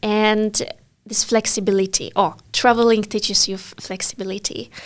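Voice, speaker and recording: In a Polish accent, a woman speaks with monotone, flat intonation. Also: fairly high pitch for a woman, moderate pace. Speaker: English teacher. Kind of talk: casual interview.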